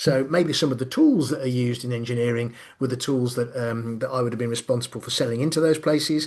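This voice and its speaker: A man talks at a very fast pace with a Midlands accent. His intonation stays fairly even. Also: medium pitch for a man. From Birmingham, English Midlands. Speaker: business consultant and coach. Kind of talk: online lecture. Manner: frequent fillers, conversational.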